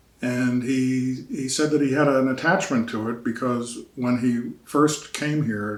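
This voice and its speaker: Amid noticeable background noise and audible room echo, a man with an American accent speaks with fairly even intonation. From Virginia and Philadelphia. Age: 70s. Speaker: historian. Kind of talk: oral history interview. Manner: halting, with fillers.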